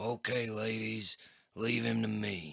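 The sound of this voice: A man speaks in a put-on character voice with a Texan accent, raspy and at a medium pitch. His intonation stays fairly even. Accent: broad Texan.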